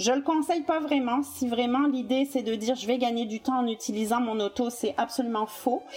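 A woman with a Quebec accent talks at a moderate pace in a high pitch, with fairly even intonation and very even loudness. She hardly pauses, and music plays in the background. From France. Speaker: travel agent. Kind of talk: podcast interview.

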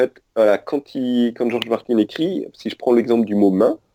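Dark and mellow in tone, a man speaks at a fairly slow pace. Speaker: author of a book. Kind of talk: interview.

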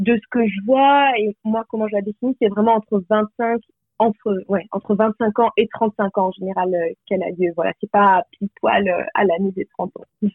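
A woman talks at a moderate pace with fairly even intonation in a normal speaking voice. Her pitch sits fairly high. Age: 20s. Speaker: life coach. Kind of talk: podcast interview.

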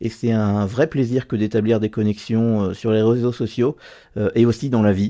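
A man's medium-pitched voice with a dark, mellow tone, at a moderate pace. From Normandy, France. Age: 20s. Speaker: television broadcast engineer. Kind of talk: recorded personal testimony.

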